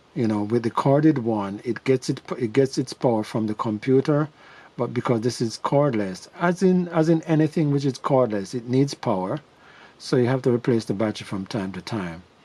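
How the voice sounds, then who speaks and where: With a dark, mellow tone and lively intonation, a man speaks at medium pitch and a moderate pace. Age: 60s. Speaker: tech tutorial youtuber. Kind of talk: tutorial. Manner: halting, many fillers and repeats; casual, conversational.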